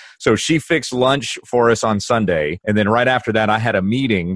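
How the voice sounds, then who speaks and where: This man has an American accent and a medium pitch, with ordinary pitch variation. He talks at a moderate pace over a quiet background. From Kansas. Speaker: pastor. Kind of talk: casual interview. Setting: video call.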